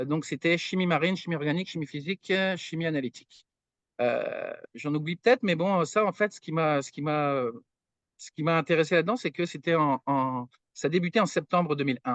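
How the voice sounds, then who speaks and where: Against a quiet background with a dry, close sound and no echo, a man talks at a fairly quick pace with a fairly high pitch and ordinary pitch variation. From France, Brittany (Brest). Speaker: materials science researcher. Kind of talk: podcast interview. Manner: hesitant, many fillers.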